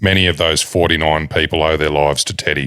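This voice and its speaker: A man speaks in a dramatic tone with an Australian accent, at a moderate pace. His voice is very deep and low, with vocal fry. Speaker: podcast host. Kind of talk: reading aloud. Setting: studio.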